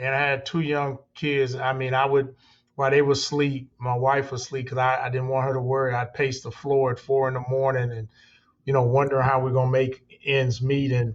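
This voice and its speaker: A man speaks at a fairly quick pace. His medium-pitched voice stays monotone and flat. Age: 60s. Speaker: construction company owner. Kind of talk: interview. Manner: conversational, repeats words.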